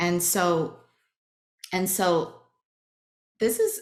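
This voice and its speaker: A woman speaks with a Chinese accent. Her fairly low voice has ordinary pitch variation. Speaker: workshop facilitator. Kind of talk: webinar talk.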